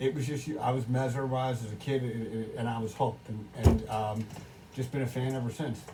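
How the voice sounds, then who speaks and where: A man with a medium-pitched voice talks fairly quickly and with fairly even intonation. Noticeable background noise and audible room echo surround him. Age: 40s. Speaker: wrestling podcast co-host. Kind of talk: casual chat. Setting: bar. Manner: halting, many restarts.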